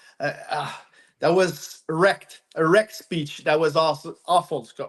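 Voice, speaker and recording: Fairly high male voice with a French accent, at a fairly slow pace against a quiet background. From Quebec, Montreal. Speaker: amateur hockey team captain. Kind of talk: podcast interview. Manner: halting.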